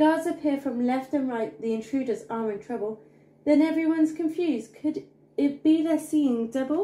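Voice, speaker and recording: In a sing-song, dark, mellow tone, a woman speaks at a high pitch and a moderate pace, with ordinary pitch variation and audible room echo. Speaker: bedtime story narrator. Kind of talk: bedtime story reading aloud of a rhyming children's book. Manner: animated, playful storyteller with comic emphasis and sound effects; rhythmic, sing-song rhyming cadence. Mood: gentle bedtime storytelling tone. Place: home room. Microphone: phone near.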